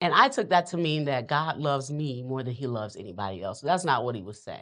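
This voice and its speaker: Speaking at a fairly quick pace with an American accent, a woman has a very deep, low pitch. Her intonation is lively, and the background is quiet. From US South, New Orleans. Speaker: entrepreneur and author. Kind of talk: casual chat while cooking.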